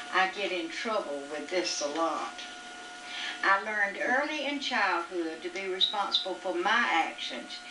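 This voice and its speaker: Over noticeable background noise, a woman of medium pitch speaks at a fairly slow pace with very wide pitch swings. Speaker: mother. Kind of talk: reading her own written reflections aloud. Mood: reflective, calm. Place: home room. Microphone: old recording.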